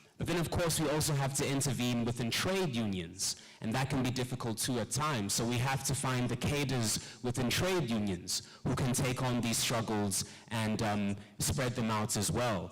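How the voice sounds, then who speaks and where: Room echo can be heard in the recording. The loudness stays very even throughout. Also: man, medium pitch for a man, ordinary pitch variation, moderate pace. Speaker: climate jobs activist, panelist. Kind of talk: conference panel talk.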